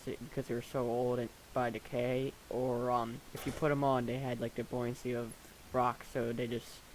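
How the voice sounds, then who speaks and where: A man is speaking. His voice is quiet. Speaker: gaming video creator. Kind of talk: gameplay commentary. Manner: halting, many fillers.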